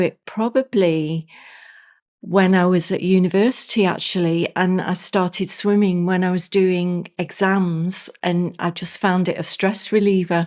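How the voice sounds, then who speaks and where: Against a quiet background, a woman of medium pitch speaks fairly slowly with monotone, flat intonation. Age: 60s. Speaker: ceramics potter and former solicitor. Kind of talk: casual interview chat. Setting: podcast recording. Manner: halting, with many fillers and restarts.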